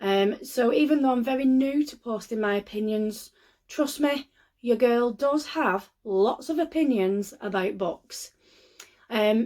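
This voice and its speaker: In a Lancashire accent, a woman with a high-pitched voice speaks at a fairly slow pace on a very clean recording with a silent background. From northern England, Lancashire. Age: 30s. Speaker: book vlogger. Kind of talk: casual vlog talk to camera. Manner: hesitant, many filler ums.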